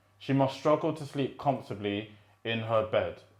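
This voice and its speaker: A man with a London accent at a medium pitch and moderate pace. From British-born, Rwandan heritage. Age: 20s. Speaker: poet. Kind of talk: spoken word poetry reading.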